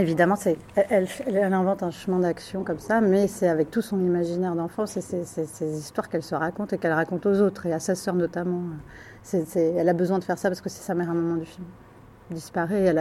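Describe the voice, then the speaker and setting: A woman with a fairly low pitch and a dark, mellow tone speaks at a very fast pace with fairly even intonation. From southern France, Ardèche. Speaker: film director. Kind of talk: interview. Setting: café at a film festival. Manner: halting.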